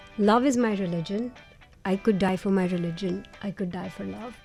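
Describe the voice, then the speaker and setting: Music plays in the background as a woman speaks at a medium pitch with ordinary pitch variation. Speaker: radio jockey. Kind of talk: interview answer.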